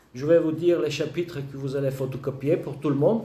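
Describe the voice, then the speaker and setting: Noticeable background noise is present. A man's voice carries audible room echo. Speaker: law lecturer. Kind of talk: lecture. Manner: halting.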